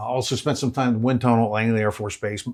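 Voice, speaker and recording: A man with a Central Pennsylvania accent speaks in a flat monotone. The recording is very clean, with a silent background. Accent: Central Pennsylvania American. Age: 60s. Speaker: race parts business owner. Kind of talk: guided shop tour interview. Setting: on location in a warehouse.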